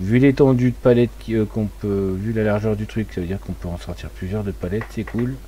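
There is noticeable background noise while a man speaks at a fairly quick pace. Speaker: gaming streamer. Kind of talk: casual live stream chat.

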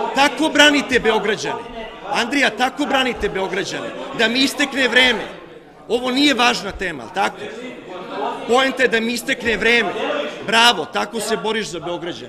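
A man talks at a fairly quick pace in a raised, projected voice. His pitch is extremely high, with noticeable background noise behind him. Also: ordinary pitch variation. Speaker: city councillor, politician. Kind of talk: parliamentary speech. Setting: city assembly chamber. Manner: insistent, repeatedly interrupting. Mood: indignant, confrontational. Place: hall. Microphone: podium.

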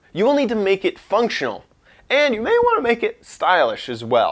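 Over a quiet background, a man talks with very wide pitch swings. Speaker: online host. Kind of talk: tutorial. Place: studio.

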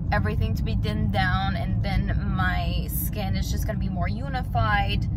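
Amid loud background noise, a woman speaks fairly slowly in a dry sound with no echo. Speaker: beauty vlogger. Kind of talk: makeup tutorial chat. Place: car. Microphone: phone near.

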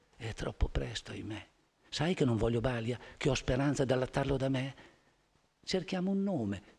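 At a moderate pace, a man speaks with vocal fry and very wide pitch swings. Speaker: poet reading to an audience. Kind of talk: poetry reading. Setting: theatre stage. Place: stage. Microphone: podium.

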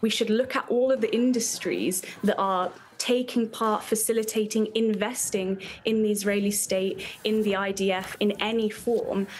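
Over light background noise, a woman with a British accent speaks in a passionate tone with very even loudness and monotone, flat intonation. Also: moderate pace. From UK. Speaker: activist. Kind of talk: interview answer. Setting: live remote interview. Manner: passionate, fiery, urgent, declamatory. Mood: earnest, political conviction. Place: home room.

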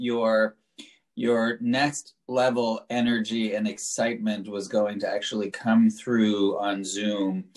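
A man with an American accent and an unremarkable speaking voice, medium in pitch with ordinary pitch variation, against a quiet background. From New York. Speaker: city council member chairing hearing. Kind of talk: public hearing. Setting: video call. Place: home room. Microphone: video call.

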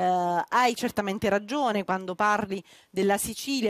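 In a dry sound with no echo, a woman speaks at a moderate pace and medium pitch with ordinary pitch variation. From southern Italy. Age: 30s. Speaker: politician; speaker, politician. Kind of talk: panel discussion. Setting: outdoor terrace event, streamed live. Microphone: headset.

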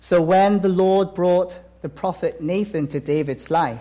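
Using a high pitch and a dark, mellow tone, a man speaks fairly slowly. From South Korea. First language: Korean. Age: 30s. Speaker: missionary. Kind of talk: sermon. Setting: church. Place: church.

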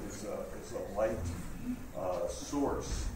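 A man speaks with noticeable background noise. The room echo is audible. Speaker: event host introducing speaker. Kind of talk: event announcement and introduction. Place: hall. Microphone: camera far.

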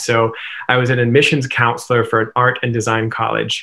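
Speech comes at a moderate pace. Behind it, all is quiet. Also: man. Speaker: interview guest. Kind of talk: interview answer. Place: home room. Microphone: webcam.

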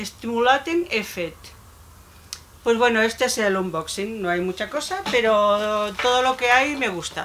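With light background noise behind her, a woman speaks at a fairly slow pace in a fairly high pitch with lively intonation. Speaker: beauty YouTuber; beauty vlogger. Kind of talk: unboxing vlog. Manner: halting. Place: home room. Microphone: phone near.

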